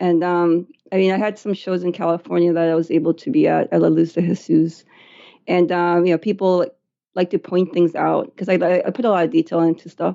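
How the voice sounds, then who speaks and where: A woman with a Spanish accent, fairly low in pitch, at a fairly quick pace with fairly even intonation. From born in Chile, raised in the US from age eight. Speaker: artist. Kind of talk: interview conversation. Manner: hesitant with many fillers.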